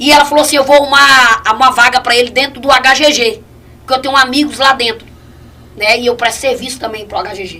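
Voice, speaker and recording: Over noticeable background noise, a woman speaks very fast in a high, raised, projected voice. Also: ordinary pitch variation. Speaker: evangelist giving testimony. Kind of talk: testimony.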